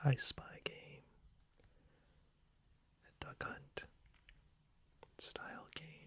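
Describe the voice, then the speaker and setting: A man is whispering. His pace is very slow. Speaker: ASMR creator. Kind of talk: ASMR whisper video. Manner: whispered.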